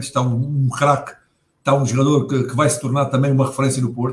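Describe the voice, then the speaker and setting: Talking at a very fast pace, a man has a fairly high, somewhat breathy voice. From Portugal, Setúbal. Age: 40s. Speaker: football pundit, former player. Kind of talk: casual football talk show. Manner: halting, many repetitions and fillers.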